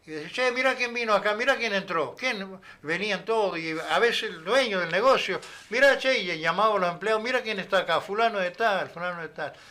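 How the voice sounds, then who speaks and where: A man with an Argentine accent, high in pitch, in a raised, projected voice with a bright, sharp tone, ordinary pitch variation and a fairly quick pace. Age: 70s. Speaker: former boxer, sales representative. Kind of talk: interview. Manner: animated, gesturing.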